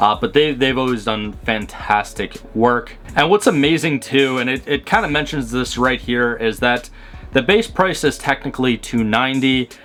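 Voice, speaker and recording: At a moderate pace and with ordinary pitch variation, the voice is heard over music in the background. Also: man, medium pitch for a man. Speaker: car review youtuber. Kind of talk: casual video commentary. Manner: halting, filler-heavy.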